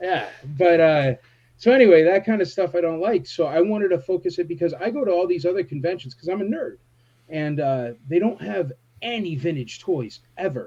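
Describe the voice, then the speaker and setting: Loud and fairly quick, a man speaks at a high pitch with a dark, mellow tone and lively intonation. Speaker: toy convention organizer. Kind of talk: casual chat. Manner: animated.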